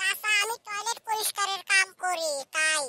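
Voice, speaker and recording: A squeaky, cartoonish character voice of extremely high pitch at a moderate pace. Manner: cheeky, rustic.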